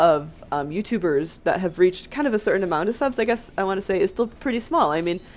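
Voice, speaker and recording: A woman at a fairly quick pace with lively intonation. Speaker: gaming YouTuber. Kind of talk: casual commentary. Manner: fast; unscripted, with filler words.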